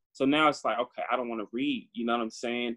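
Having an unremarkable speaking voice, a man with an American accent talks in a medium pitch with fairly even intonation. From Northern California, Antioch. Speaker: graduate student and youth education advocate. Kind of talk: interview. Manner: casual, filler-heavy.

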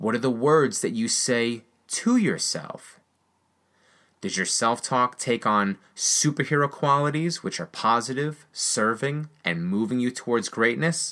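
An energetic man with an American accent and a bright, sharp tone speaks with ordinary pitch variation on a very clean recording with a silent background. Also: medium pitch for a man, fairly slow pace. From rural United States. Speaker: business coach and podcast host. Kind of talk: scripted motivational monologue. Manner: energetic, encouraging.

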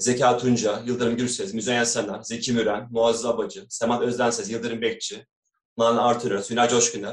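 A man with a plain, everyday voice, medium pitch and a moderate pace. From Istanbul, Turkey. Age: 40s. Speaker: doctor and amateur kanun player. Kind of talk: interview.

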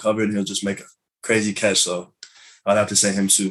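In an American accent, a man talks at a very fast pace with a fairly low voice. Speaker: college football player. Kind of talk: interview.

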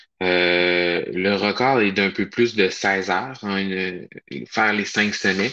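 At a very slow pace, a man with a Quebec accent speaks in a bright, sharp tone with fairly even intonation. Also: fairly low pitch for a man. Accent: Québécois French. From Quebec, Charlevoix region. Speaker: hiking challenge organizer. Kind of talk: casual interview.

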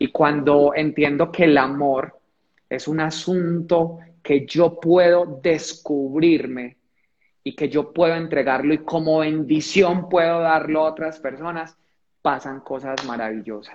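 A man speaks very slowly, his pitch fairly high. His intonation stays fairly even. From Colombia, Pereira (coffee region). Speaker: motivational speaker. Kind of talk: livestream conversation. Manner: repetitive, halting.

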